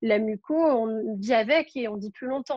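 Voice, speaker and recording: A woman with a fairly high pitch speaks at a very slow pace with fairly even intonation. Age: 20s. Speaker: medical student with cystic fibrosis. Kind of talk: interview.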